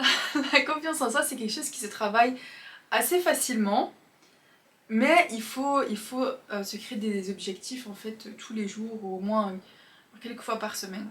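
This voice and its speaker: A woman with a fairly high pitch and ordinary pitch variation speaks with long, frequent pauses and big swings in loudness. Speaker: self-improvement youtuber. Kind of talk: casual monologue. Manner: fast.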